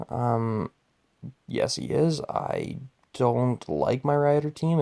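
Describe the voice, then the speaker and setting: The sound is dry and close, without any echo. A man talks at a very slow pace. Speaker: gaming YouTuber. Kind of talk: casual gaming commentary.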